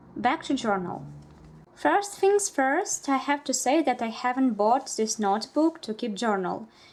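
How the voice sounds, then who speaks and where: In a Russian accent, a woman speaks in a high pitch with very wide pitch swings. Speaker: bullet journal vlogger. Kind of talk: casual vlog narration.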